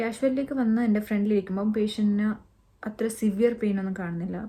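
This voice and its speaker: A woman with a Keralan accent speaks at a medium pitch. Her tone is dark and mellow and somewhat breathy, with fairly even intonation. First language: Malayalam. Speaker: doctor vlogger. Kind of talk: personal storytelling vlog. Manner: code-switching English and Malayalam.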